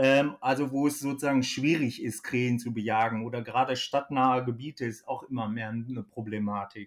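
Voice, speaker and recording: At a fairly quick pace with hardly any pauses, a man speaks in a plain, everyday voice, medium in pitch and fairly even in intonation. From Germany, Ostwestfalen (Kreis Höxter). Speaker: hunting expert, company manager. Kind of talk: casual expert interview.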